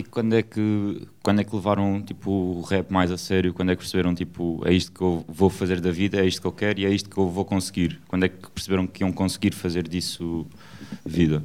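Fairly quick and monotone, a man speaks with a very deep, low pitch and flat intonation. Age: young. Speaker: radio host. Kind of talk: casual chat.

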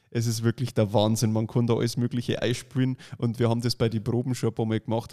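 A man with an Upper Bavarian accent at a very fast pace, medium pitch, dark, mellow tone and monotone, flat intonation, in a very clean recording with a silent background. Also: dry, close sound with no echo. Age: 30s. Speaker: magician and podcast co-host. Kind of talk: casual chat.

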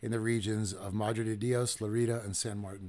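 A man's normal speaking voice at medium pitch and a fairly quick pace, in a very clean recording with a silent background. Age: 40s. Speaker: podcast host on conservation. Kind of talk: live-streamed casual talk show. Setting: live stream with viewer comments. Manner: conversational with filler words.

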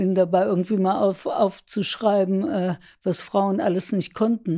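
Heard on a very clean recording with a silent background, a woman with a dark, mellow tone speaks fairly slowly at medium pitch with ordinary pitch variation. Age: 80s+. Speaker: writing workshop leader. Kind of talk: casual interview. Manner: hesitant, many fillers.

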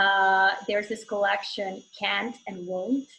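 A woman with a Serbo-Croatian accent speaks at a fairly slow pace in a bright, sharp tone. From Bosnia. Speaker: novelist. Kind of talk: panel discussion in an online author event.

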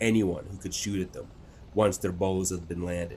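The voice is very deep and low. It comes from a man. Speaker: audiobook narrator. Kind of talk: dramatic audiobook narration of a sci-fi war story, building tension in battle scenes; scripted narration. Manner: tense, urgent, crisp pacing during combat action.

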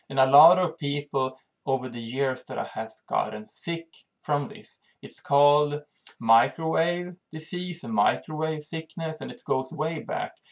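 A fairly slow delivery in a Swedish accent. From Sweden. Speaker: channel host on health and EMF. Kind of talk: informational monologue. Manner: halting.

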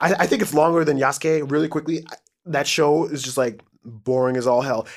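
A man's normal speaking voice, fairly high in pitch, at a fairly quick pace. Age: 30s. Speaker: podcast co-host. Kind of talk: casual chat.

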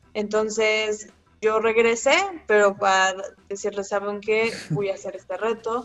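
Noticeable background noise behind a fairly high-pitched woman speaking at a moderate pace with fairly even intonation. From Mexico City. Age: 20s. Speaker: long-distance hiker. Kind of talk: casual interview.

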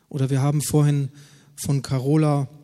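A man's dark, mellow, somewhat breathy voice, fairly high-pitched, at a fairly slow pace. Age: 40s. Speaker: pastor. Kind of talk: sermon.

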